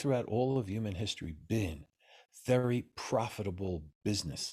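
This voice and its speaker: In a very clean recording with a silent background, a man with a New York accent speaks at a fairly low pitch in a dark, mellow, somewhat breathy voice. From US Northeast, New York City. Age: 70s. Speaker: Taoist master. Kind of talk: interview. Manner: animated.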